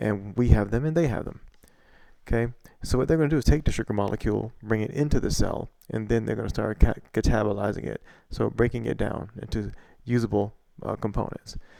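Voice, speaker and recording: A man with a fairly low pitch talks very fast. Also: ordinary pitch variation. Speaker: science educator. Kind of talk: lecture. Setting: home recording at night. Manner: quiet; halting. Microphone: poorly placed mic.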